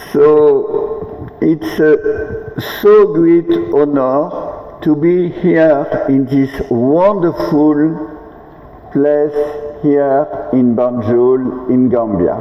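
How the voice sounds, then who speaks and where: Over noticeable background noise, a man speaks at a very slow pace with a strong French accent and very even loudness. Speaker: international delegation leader. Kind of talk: ceremonial speech.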